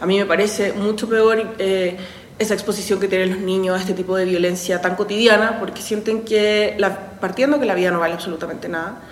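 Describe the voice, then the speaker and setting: A woman's medium-pitched voice, fairly quick and fairly even in intonation, with audible room echo and noticeable background noise. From Chile, Santiago. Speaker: university professor. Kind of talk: interview testimony.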